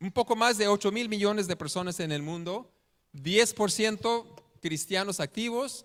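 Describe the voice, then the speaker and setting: A man with a non-native accent speaks at a fairly slow pace in a high voice, his pitch varying in an ordinary way. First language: not Spanish (speaking Spanish). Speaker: missionary preacher. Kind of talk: sermon. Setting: church. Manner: halting.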